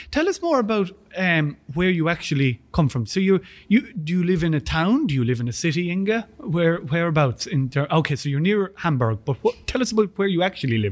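Using an Irish accent, a man speaks fairly quickly at a high pitch with very wide pitch swings. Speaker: student union podcast host. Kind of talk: sponsor thanks; casual chat interview. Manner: halting, many fillers and repeats.

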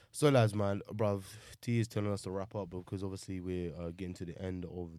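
A man with a London accent and a very deep, low pitch speaks in a very clean recording with a silent background. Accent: London multicultural English. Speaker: podcast host. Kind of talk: casual banter, football podcast. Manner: animated, banter-heavy.

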